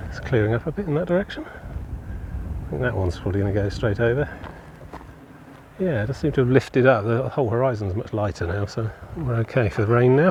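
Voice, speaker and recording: Lively intonation marks a man's medium-pitched voice, with noticeable background noise behind it. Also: fairly quick pace. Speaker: walking vlogger. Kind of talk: casual walking vlog narration. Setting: outdoors on a coastal walk. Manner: loud. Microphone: phone mic.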